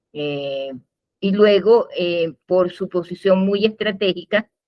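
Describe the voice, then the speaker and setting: A woman at a fairly low pitch, speaking at a very slow pace. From Venezuela, Maracay. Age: 70s. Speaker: genealogist. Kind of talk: interview. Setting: video call. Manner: halting, many fillers.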